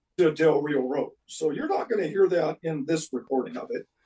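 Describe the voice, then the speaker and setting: The sound is dry and close with no echo as a man at a fairly high pitch speaks at a moderate pace with ordinary pitch variation. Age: 60s. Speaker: guitar builder and musician. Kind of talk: casual interview chat. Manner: halting.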